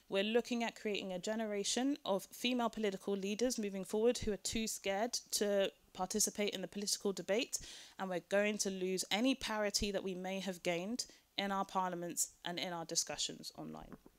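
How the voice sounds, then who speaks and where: Speaking at a fairly quick pace, a woman has a British accent and a medium pitch. Her intonation stays fairly even. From Britain. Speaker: panel speaker on gender and online violence. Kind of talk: conference talk.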